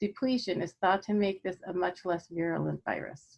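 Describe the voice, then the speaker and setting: A woman talks at a moderate pace with fairly even intonation. She has a plain, everyday voice. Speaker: physician lecturer. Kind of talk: lecture. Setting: online video presentation.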